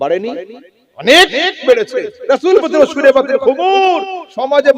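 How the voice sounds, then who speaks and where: Very wide swings in pitch mark this man's speech. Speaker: Islamic preacher. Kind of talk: Islamic sermon (waz) to an audience. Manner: rhetorical, engaging the audience with questions.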